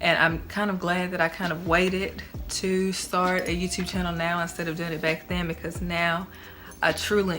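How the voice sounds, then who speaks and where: A woman talks at a moderate pace with a fairly low pitch. Her intonation is monotone and flat, and audible room echo surrounds her. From Tennessee. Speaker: YouTuber. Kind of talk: casual vlog talk. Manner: casual, filler-heavy.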